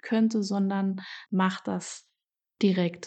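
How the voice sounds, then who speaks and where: A woman's dark, mellow tone in a monotone, flat intonation, set against a quiet background. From Germany, Saarland. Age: 30s. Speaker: podcast host. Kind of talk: solo podcast monologue. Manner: hesitant, many filler sounds.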